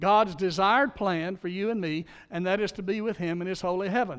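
Against a quiet background, a man with a Southern US accent talks at a moderate pace with ordinary pitch variation. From Louisiana. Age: 60s. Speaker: pastor. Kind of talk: sermon. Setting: church.

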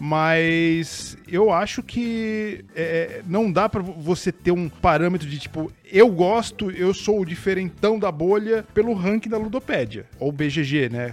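The delivery is very slow, with lively intonation and hardly any pauses. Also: man, high pitch for a man. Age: 40s. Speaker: podcast co-host. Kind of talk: casual chat.

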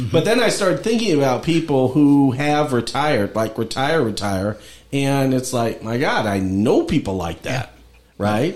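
This man has an unremarkable speaking voice. He talks at a moderate pace with lively intonation. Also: medium pitch for a man. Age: 50s. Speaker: podcast host and lawyer. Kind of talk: casual interview chat.

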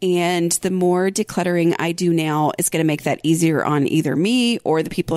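A woman's fairly low-pitched voice, an unremarkable speaking voice, at a fairly quick pace with hardly any pauses, fairly even intonation, and very even loudness. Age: 40s. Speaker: podcast host and blogger. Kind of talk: casual solo podcast talk.

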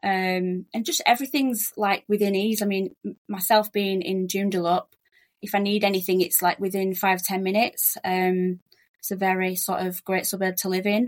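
A woman talks at a medium pitch in a monotone, flat intonation. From Yorkshire, England. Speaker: relocation agent, migrant. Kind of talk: casual interview chat. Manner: fast talker.

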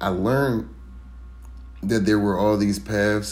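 A man with a fairly low pitch and lively intonation speaks amid audible room echo. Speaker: first-time podcaster. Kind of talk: solo monologue.

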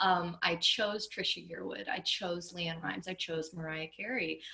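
There is noticeable background noise in this clip. The woman talking has an American accent. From US South, West Palm Beach, Florida. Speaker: country singer-songwriter. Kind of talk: casual interview.

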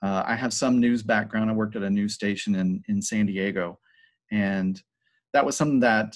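In an ordinary speaking voice, a man with an American accent talks at a moderate pace and fairly low pitch with fairly even intonation, on a very clean recording with a silent background. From Georgia, US (Paulding County). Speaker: high school video production teacher. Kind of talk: casual interview.

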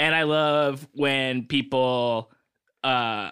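The voice has a bright, sharp tone, fairly even intonation and an American accent. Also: man. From US West Coast, Los Angeles. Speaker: comedian and podcast producer. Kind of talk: casual chat.

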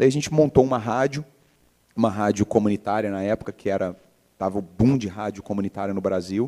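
A man talks at a fairly quick pace in a dark, mellow tone with ordinary pitch variation, recorded very cleanly with a dry, close sound, no echo, and a silent background. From Brazil, Minas Gerais (Belo Horizonte). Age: 40s. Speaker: entrepreneur. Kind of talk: interview. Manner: halting.

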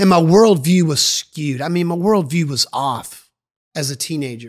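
Lively intonation and an animated tone mark this man's fairly high voice. He talks at a moderate pace. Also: very clean recording, silent background. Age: 40s. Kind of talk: sermon-style podcast teaching.

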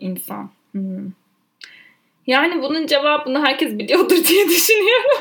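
Very wide pitch swings at a fairly slow pace, broken by long, frequent pauses. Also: woman, high pitch for a woman. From Turkey, Ankara. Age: 20s. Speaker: podcast co-host, trainee lawyer. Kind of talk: casual chat.

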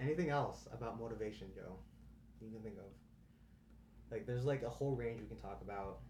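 Very fast male speech with audible room echo. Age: 20s. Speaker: podcast host, college student. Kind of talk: casual chat.

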